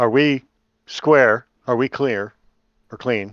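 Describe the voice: The sound is dry and close, with no echo. Speech moves at a slow pace with ordinary pitch variation. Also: man, medium pitch for a man.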